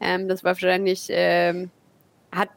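The speaker is a woman. Her sound is dry and close, without any echo. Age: 20s. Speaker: startup co-founder. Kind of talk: interview.

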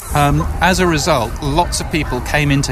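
A man speaks over noticeable background noise. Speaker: radio industry consultant. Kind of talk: casual chat.

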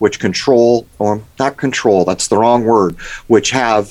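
A man with an unremarkable speaking voice talks at a moderate pace, with a medium pitch and ordinary pitch variation. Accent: American. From San Diego, California. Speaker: conspiracy researcher and video maker. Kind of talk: radio interview.

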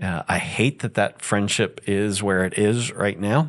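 Against a quiet background, a man with an ordinary speaking voice talks at a fairly slow pace in a fairly low pitch. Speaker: pastor. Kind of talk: church Q&A session.

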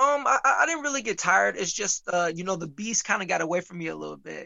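A man with an American accent at a very fast pace. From Michigan (Muskegon), US Midwest. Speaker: professional boxer. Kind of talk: interview. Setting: video call. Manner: halting, with many fillers and repetitions.

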